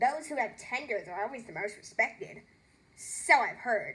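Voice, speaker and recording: A female-sounding put-on character voice comes at a moderate pace and a high pitch. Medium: read story. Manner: bright, playful.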